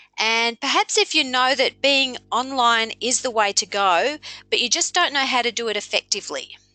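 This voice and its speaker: Over music in the background, a woman with a high pitch speaks at a moderate pace in a dry, close sound with no echo. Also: lively intonation. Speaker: business coach running a webinar. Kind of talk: webinar presentation. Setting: online webinar broadcast.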